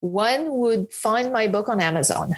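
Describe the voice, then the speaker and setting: Lively intonation marks this voice, which has a French accent and moves at a moderate pace. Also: woman. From France. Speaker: retired hedge fund manager and author. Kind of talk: podcast interview.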